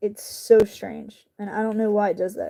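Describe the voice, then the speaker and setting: The voice has a dark, mellow tone and a strong Southern US accent. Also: woman. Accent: southern country accent, coming back strongly. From US South, North Carolina (Charlotte). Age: 40s. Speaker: YouTuber, craft maker. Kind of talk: casual chat with live chat while crafting. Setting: home livestream, camera on tripod. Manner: youthful casual slang.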